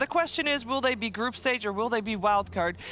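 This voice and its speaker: A woman talks in a raised, projected voice, with noticeable noise in the background. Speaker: esports caster. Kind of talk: live commentary. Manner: fast.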